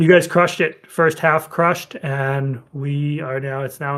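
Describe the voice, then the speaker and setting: His pitch is fairly high for a man. The intonation is fairly even. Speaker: company representative hosting community call. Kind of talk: community video call update. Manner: fast.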